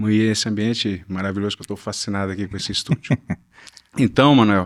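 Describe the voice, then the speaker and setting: Speech runs at a very fast pace. A man's fairly low pitch holds fairly even intonation. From Brazil, Northeast (Natal, Rio Grande do Norte). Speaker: plastic surgeon. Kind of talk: interview. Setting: studio.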